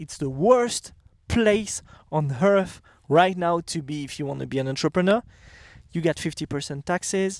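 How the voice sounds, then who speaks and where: With a French accent, a man speaks at a high pitch and a moderate pace with ordinary pitch variation. The recording is very clean, with a silent background and a dry, close sound with no echo. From France. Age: 30s. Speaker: entrepreneur and vlogger. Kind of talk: casual vlog monologue. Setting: outdoors. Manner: halting, with fillers and restarts.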